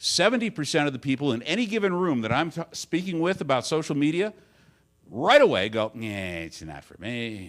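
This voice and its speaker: A man with a Midwestern American accent, very wide pitch swings, vocal fry and long, frequent pauses, on a very clean recording with a silent background. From Detroit, Michigan. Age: 60s. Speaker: advertising agency owner and conference speaker. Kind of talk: conference talk. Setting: stage with audience. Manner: conversational.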